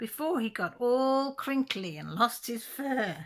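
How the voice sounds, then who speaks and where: A woman puts on a character voice with a high pitch. She speaks at a fairly slow pace. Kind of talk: bedtime story. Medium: read story. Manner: warm, gentle, storytelling.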